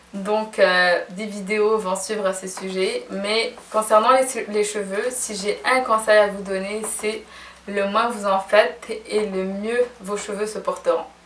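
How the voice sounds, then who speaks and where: Through noticeable background noise, a woman speaks very slowly in a fairly high, monotone voice with flat intonation. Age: 20s. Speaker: fashion and beauty blogger. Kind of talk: casual vlog Q&A.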